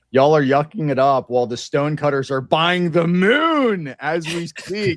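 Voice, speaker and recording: A man's fairly high voice with ordinary pitch variation, dry and close with no echo. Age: 30s. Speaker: streamer reviewing religious debates. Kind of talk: casual chat on livestream. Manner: animated, joking.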